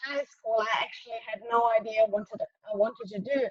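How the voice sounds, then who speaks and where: A woman in a German accent speaks at a moderate pace and fairly high pitch with ordinary pitch variation, the sound dry and close with no echo. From southern Germany. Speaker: motorsport engineer. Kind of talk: interview. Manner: halting.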